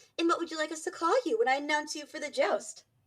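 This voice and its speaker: A squeaky put-on character voice at a very fast pace. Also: woman, extremely high pitch for a woman. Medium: actual play. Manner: friendly, showy.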